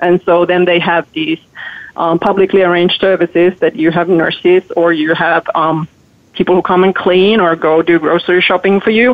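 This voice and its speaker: With fairly even intonation, a woman speaks in a Finnish accent. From Finland. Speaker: author and journalist. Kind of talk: radio interview.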